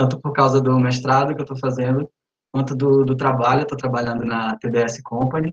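Somewhat breathy, a man talks at a fairly quick pace. His pitch is medium, delivered in a monotone, flat intonation. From Brazil, interior of Tocantins. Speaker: student program ambassador. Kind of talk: casual group video chat. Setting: video call.

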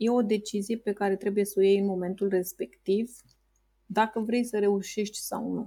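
Somewhat breathy and dark, mellow in tone, a woman speaks with a monotone, flat intonation. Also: medium pitch for a woman, moderate pace. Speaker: entrepreneur. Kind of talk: interview.

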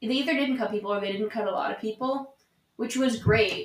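At a fairly quick pace, a normal speaking voice carries ordinary pitch variation. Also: woman. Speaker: theater student. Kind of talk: casual chat.

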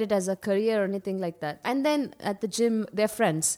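A woman speaks in a Karnataka accent. Her pitch is fairly high. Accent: Indian English (Kannada region). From India, Karnataka (Mysore/Bangalore). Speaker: radiologist and fitness instructor. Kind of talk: casual interview chat.

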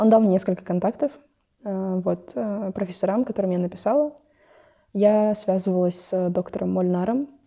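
A woman with a medium pitch speaks at a moderate pace, leaving long, frequent pauses. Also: ordinary pitch variation. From Kazakhstan, Ust-Kamenogorsk. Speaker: biology student. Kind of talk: casual interview.

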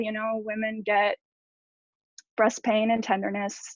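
A woman speaks at a moderate pace in a fairly high pitch. It is an ordinary speaking voice. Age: 30s. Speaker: former yacht crew. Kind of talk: testimony.

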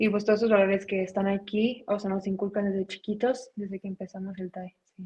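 With a dark, mellow, somewhat breathy tone at a medium pitch, a woman speaks fairly quickly in a flat monotone, her loudness swinging widely in a dry, close sound with no echo. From Mexicali, Baja California, Mexico. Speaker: taekwondo world champion athlete. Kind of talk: interview.

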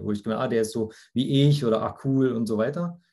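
Fairly quick speech in a dark, mellow tone with ordinary pitch variation. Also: man. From Germany, near Frankfurt (Hesse). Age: 30s. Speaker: insurance agent and yoga teacher. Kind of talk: casual interview. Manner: hesitant, many fillers.

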